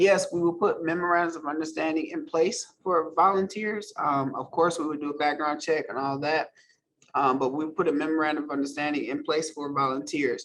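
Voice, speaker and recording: A man's ordinary speaking voice, fairly high and fairly quick, with fairly even intonation. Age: 50s. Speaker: guest speaker and advocate for trafficking survivors. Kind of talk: virtual event Q&A.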